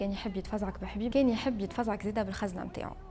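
A woman with a Tunisian accent, fairly high pitch and a fairly quick pace. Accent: Tunisian Arabic with French code-switching. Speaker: storytelling video host. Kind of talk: scripted narration. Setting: on location in historic house.

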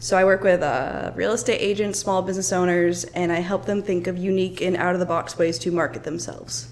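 A woman's normal speaking voice, fairly low in pitch, fairly quick with hardly any pauses, fairly even intonation, and light background noise. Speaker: social media manager. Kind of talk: casual interview chat. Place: meeting room. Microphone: studio mic.

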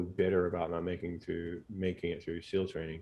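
A man with an American accent at a fairly quick pace. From Texas, Katy near Houston; Texas. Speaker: physician and sleep expert, former Navy SEAL; interview guest. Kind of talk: casual interview chat. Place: home room. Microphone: studio mic.

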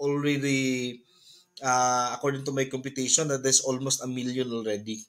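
A man's voice against a quiet background. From Philippines. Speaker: business presenter; presenter. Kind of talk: sales pitch. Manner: halting, many fillers. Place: home room. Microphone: webcam.

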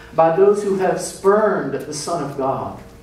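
The pace is moderate. Audible room echo is present. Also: man. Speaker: pastor. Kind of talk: scripture reading. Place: church. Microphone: podium.

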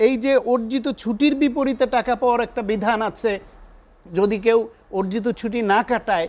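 With fairly even intonation, a man talks at an extremely high pitch. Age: 50s. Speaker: university teacher and think tank secretary; talk show guest. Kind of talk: political talk show debate. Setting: TV studio. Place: studio.

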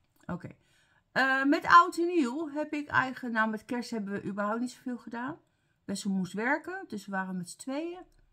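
A woman talks fairly quickly in a bright, sharp tone. Her pitch is high, with very wide swings. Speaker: beauty vlogger. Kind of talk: casual vlog, product review. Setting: home, talking to camera. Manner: casual, chatty, halting.

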